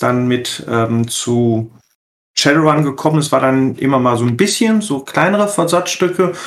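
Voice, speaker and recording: This man has a plain, everyday voice pitched fairly high. He speaks at a fairly slow pace. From Ruhr area, Germany. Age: 40s. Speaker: role-playing game editor. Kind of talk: casual chat.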